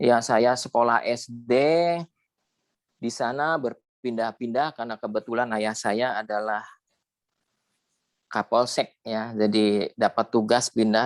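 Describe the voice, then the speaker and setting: A man speaks fairly slowly in an ordinary speaking voice at a medium pitch with fairly even intonation. The recording is very clean with a silent background and a dry, close sound with no echo. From West Java, Indramayu and Cirebon area. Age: 50s. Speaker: alumnus sharing life story. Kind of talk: interview testimony.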